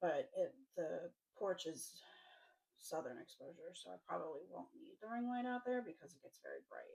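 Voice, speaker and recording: The pace is moderate as a woman talks. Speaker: crafting vlogger. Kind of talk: casual chat. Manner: not a loud talker. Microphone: poor microphone, hard to hear.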